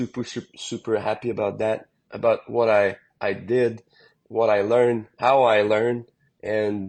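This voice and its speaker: A man with a strong French-Canadian accent talks at a moderate pace. His intonation is monotone and flat, over a quiet background. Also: medium pitch for a man. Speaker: country singer. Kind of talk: casual interview chat. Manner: halting, many repetitions.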